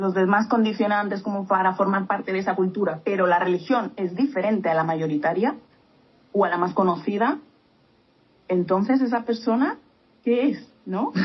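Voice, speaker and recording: A woman's medium-pitched voice, an ordinary speaking voice, at a moderate pace with ordinary pitch variation. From Spain. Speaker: podcast co-host. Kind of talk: casual chat.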